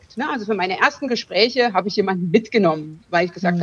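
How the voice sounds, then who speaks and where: A woman speaks very fast with lively intonation. Noticeable background noise runs beneath her voice. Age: 40s. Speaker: lawyer and business coach, breast cancer survivor. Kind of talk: interview.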